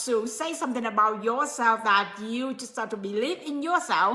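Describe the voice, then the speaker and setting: Raising and projecting her voice, a woman with a non-native accent speaks with lively intonation amid noticeable background noise. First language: not English. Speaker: motivational speaker / coach. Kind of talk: live stream motivational talk. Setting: live stream. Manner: halting, many fillers.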